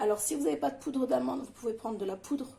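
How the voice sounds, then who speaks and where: Here a woman talks at a fairly high pitch. Noticeable background noise runs behind her. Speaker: home cooking channel host. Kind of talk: cooking tutorial. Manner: hesitant, many filler sounds.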